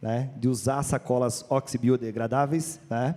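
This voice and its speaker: His tone is dark and mellow. The man speaks at a medium pitch with fairly even intonation. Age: 30s. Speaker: supermarket executive. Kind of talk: panel discussion.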